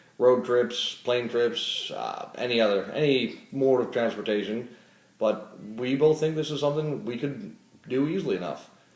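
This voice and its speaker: A man with an American accent at a moderate pace, with ordinary pitch variation, audible room echo and noticeable background noise. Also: medium pitch for a man. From Florida. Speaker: casting applicant. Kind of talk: casting video self-introduction.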